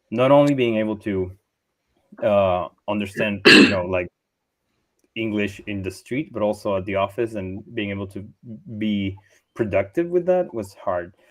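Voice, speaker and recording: With a slight American accent, a man speaks at a moderate pace and fairly low pitch, using ordinary pitch variation and long, frequent pauses. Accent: slight Hollywood-style American English. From Chile, Santiago. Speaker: software engineer. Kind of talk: panel Q&A. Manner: hesitant, many fillers.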